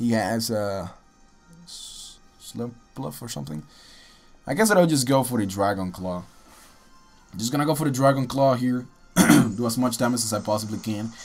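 A man with a medium-pitched voice speaks at a moderate pace, leaving long, frequent pauses. Music plays in the background. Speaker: gaming commentator. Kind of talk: live game commentary. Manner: casual.

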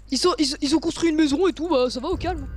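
A woman's extremely high voice, very fast, with ordinary pitch variation over noticeable background noise. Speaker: gamer. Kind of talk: casual chat.

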